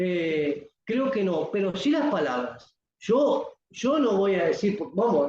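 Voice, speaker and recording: A man with a high pitch talks at a very slow pace, his pitch swinging very widely. His loudness stays very even. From Uruguay. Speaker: poet and writer. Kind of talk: interview.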